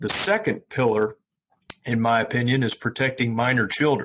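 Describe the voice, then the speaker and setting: Speaking with an American accent, a man's voice sits at a medium pitch. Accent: US Southern accent, remarked on. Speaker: estate planning lawyer. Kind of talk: interview. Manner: many fillers (uh, um).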